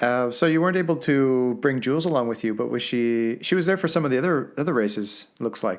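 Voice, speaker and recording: In a very clean recording with a silent background, a man with a Canadian accent talks at medium pitch, using lively intonation and an unremarkable speaking voice. He keeps a fairly quick pace with hardly any pauses. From Canada. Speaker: podcast co-host. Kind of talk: casual chat.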